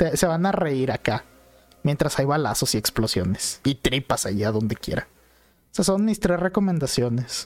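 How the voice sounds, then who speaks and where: The sound is dry and close, with no echo. A man with a Mexican accent swings his pitch very widely. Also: fairly high pitch for a man, moderate pace. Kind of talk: casual chat. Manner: animated.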